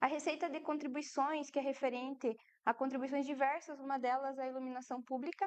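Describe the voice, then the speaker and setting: The speaker is soft-spoken, talking at a fairly quick pace in a monotone, flat intonation. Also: woman, high pitch for a woman. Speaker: municipal finance official. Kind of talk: public fiscal report presentation.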